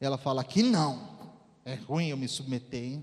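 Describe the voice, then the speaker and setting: A man talks in a fairly high pitch. His pitch variation is ordinary. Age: 40s. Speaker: pastor. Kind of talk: sermon. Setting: church.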